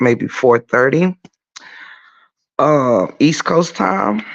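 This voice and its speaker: A quiet man's voice at medium pitch, fairly slow in pace, with ordinary pitch variation. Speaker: YouTube livestreamer. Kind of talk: casual livestream chat. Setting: garage, early morning livestream. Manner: quiet, holding volume down.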